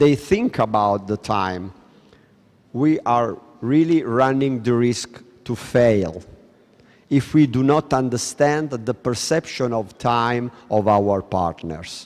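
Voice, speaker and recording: A man speaks at a very slow pace with an Italian accent. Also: medium pitch for a man, ordinary pitch variation. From Italy. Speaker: lecturer. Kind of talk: lecture.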